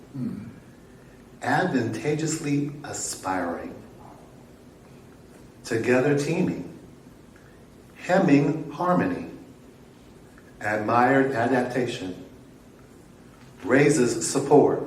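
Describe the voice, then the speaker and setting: A man with lively intonation, very slow pace and long, frequent pauses, over noticeable background noise. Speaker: poetry event host. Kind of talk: poetry reading.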